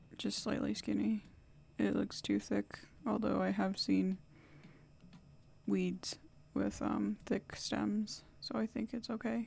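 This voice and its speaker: The speaker is a woman talking at a very slow pace. She leaves long, frequent pauses. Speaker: college student. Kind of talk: screen-recorded tutorial walkthrough. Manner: hesitant, many fillers.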